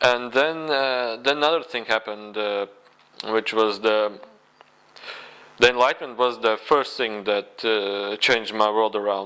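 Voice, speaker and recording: Speaking at a moderate pace, a man has a medium pitch. He has a non-native accent. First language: not English. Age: 20s. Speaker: spiritual video blogger. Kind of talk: personal testimony monologue. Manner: halting, many fillers.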